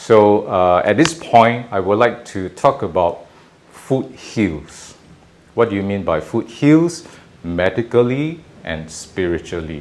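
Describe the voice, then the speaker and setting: A man of fairly low pitch at a very slow pace, with very wide pitch swings. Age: 50s. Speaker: caregiver and painter. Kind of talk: casual cooking talk to camera.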